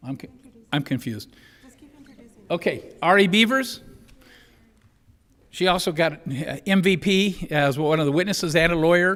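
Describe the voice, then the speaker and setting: A man speaks loudly in a high pitch. His pitch varies in an ordinary way. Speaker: mock trial team coach. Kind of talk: public meeting recognition. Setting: school board meeting room.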